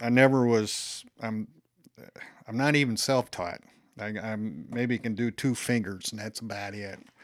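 Speaking at a medium pitch and a fairly slow pace, a man with an American accent keeps a fairly even intonation but has big swings in loudness. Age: 60s. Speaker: bassist and amp builder. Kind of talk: older musician's rambling life story, recalling decades of bands, gigs and work. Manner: meandering, jumping year to year with filler words; casual, halting with repeated yeps and ums.

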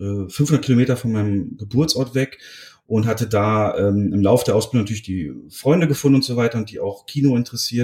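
Over a silent background on a very clean recording, a dark, mellow tone moves at a moderate pace with ordinary pitch variation. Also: man. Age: 30s. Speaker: film podcaster. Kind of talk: casual chat; film plot summary.

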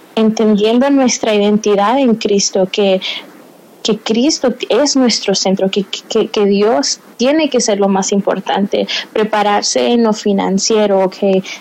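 Over noticeable background noise, a woman with a fairly high pitch speaks at a fairly slow pace, her pitch varying in an ordinary way and her loudness very even. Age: 20s. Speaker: interview guest sharing faith story. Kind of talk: testimony interview. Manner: halting, frequent word repetitions.

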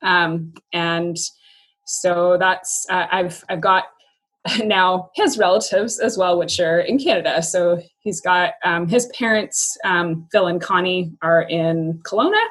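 Very slow speech comes from a woman at a medium pitch. Her pitch varies in an ordinary way. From US Pacific Northwest (Yakima, Washington). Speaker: former teacher. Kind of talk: casual interview. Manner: halting, with many fillers.

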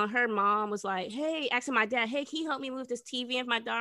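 Her bright, sharp tone sits at a high pitch, and the woman uses ordinary pitch variation. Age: 20s. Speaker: podcast co-host. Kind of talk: casual chat.

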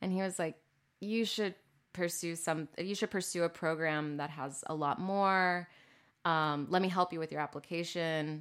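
Speaking with an American accent, a woman with an ordinary speaking voice and fairly low pitch keeps a moderate pace and fairly even intonation. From Texas, Corpus Christi. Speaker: artist. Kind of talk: casual interview.

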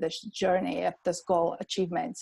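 With an Armenian accent, a woman talks at a fairly quick pace, her medium-pitched voice keeping a fairly even intonation. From Armenia (Yerevan). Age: 30s. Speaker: pharmacist and entrepreneur. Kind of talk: podcast interview.

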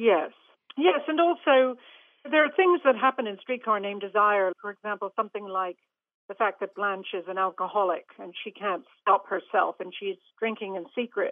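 A woman with an American accent and a plain, everyday voice speaks at medium pitch and a moderate pace, with lively intonation and big swings in loudness. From US, Long Island, New York. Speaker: theatre and film director. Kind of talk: interview.

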